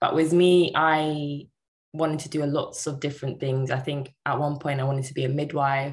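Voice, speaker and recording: Monotone, flat intonation in a London accent. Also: woman, very deep, low pitch for a woman, moderate pace. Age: 20s. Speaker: cloud architect apprentice. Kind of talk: interview.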